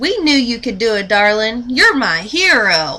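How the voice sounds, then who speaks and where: A woman puts on a character voice, fairly high and warm and playful in tone, with very wide pitch swings at a moderate pace. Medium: read story. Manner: warm, playful.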